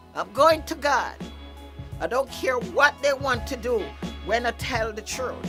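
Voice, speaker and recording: The pace is fairly slow. Music plays in the background. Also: woman. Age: 60s. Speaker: store owner. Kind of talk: interview answer.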